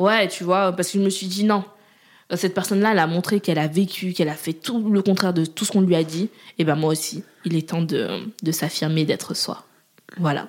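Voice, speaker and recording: On a very clean recording with a silent background, a woman talks at a fairly quick pace with fairly even intonation and long, frequent pauses. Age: 20s. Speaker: agency founder. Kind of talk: casual interview.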